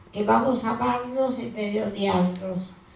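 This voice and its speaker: Amid audible room echo and noticeable background noise, a woman speaks at a medium pitch with very wide pitch swings. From Argentina. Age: 90s. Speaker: elderly activist at a book presentation. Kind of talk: panel speech. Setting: book presentation with audience. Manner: halting.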